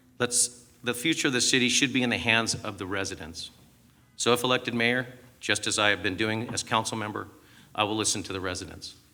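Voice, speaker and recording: A man speaks with a Southern California accent at a fairly quick pace. His pitch is medium with ordinary variation, and his tone is bright and sharp. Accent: General American (Southern California). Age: 50s. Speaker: mayoral candidate. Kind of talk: prepared campaign statement. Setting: stage with audience. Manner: formal.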